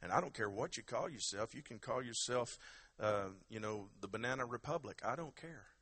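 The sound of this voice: Lively intonation in an unforced reading voice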